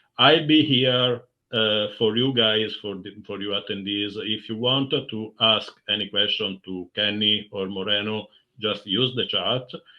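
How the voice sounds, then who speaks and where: Speaking fairly slowly with an Italian accent, a man uses a fairly low pitch and ordinary pitch variation. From Italy. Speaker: community manager. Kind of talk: webinar introduction.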